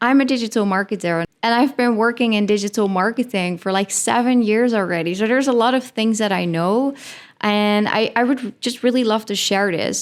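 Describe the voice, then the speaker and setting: Talking at a fairly quick pace, a woman with a Dutch accent has a fairly high pitch and ordinary pitch variation. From Netherlands. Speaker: podcast host. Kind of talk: casual podcast monologue. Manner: animated, filler-heavy.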